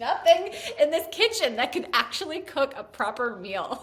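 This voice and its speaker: A woman with an American accent has an extremely high pitch and very wide pitch swings. Her tone is animated and her pace fairly slow. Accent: latent Staten Island. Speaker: podcast co-host. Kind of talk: casual chat.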